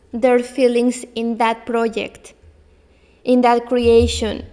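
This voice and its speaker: A woman with a non-native accent speaks very slowly in a high pitch. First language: not English. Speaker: belly dance teacher. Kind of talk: solo podcast talk. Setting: in front of a camera. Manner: halting.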